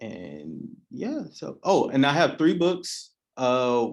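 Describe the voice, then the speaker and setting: An unremarkable speaking voice from a man, medium in pitch with lively intonation, on a very clean recording with a silent background. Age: 20s. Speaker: spoken word artist. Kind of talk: panel discussion.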